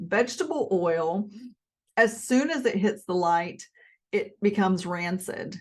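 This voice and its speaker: In a Southern US accent, a woman speaks with lively intonation at a moderate pace against a quiet background. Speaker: health and nutrition video creator. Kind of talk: casual educational monologue.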